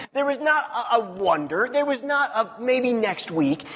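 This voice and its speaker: A man's pitch swings very widely at a fairly slow pace. Noticeable background noise sits behind him. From US Midwest (Missouri). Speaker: pastor. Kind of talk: sermon. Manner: casual.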